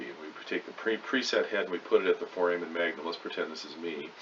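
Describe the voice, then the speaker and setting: Noticeable background noise fills the recording. Through it, a man speaks very fast. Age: 60s. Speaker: veterinarian. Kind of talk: lecture.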